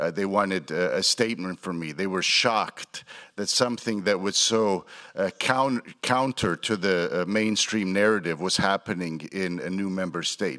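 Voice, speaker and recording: A man with a Croatian accent, fairly low in pitch, bright and sharp in tone, with ordinary pitch variation and a moderate pace, on a very clean recording with a silent background. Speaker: politician. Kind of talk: conference speech. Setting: stage with audience.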